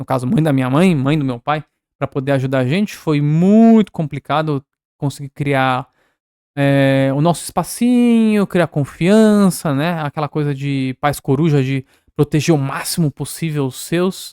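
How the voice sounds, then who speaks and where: On a very clean recording with a silent background and a dry, close sound with no echo, a man speaks at a fairly slow pace in a dark, mellow tone, his pitch fairly high with ordinary variation. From Peru (Cusco), raised in São Paulo, Brazil from age 4-5. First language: Spanish (speaking Portuguese). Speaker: artist. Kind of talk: casual podcast interview.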